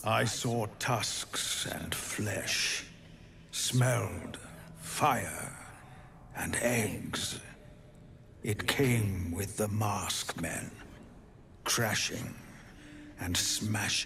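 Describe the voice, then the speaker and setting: Putting on a character voice, a man speaks very slowly with long, frequent pauses in a fairly low pitch, while clear background noise runs underneath. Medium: actual play. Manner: slow, terse, archaic phrasing.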